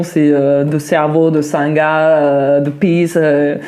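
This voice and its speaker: Flat and monotone in intonation, the voice has a dark, mellow tone. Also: woman. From southern France (Vaucluse, near Mont Ventoux). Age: 30s. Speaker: interviewee, cook. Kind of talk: podcast interview. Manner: hesitant, many fillers.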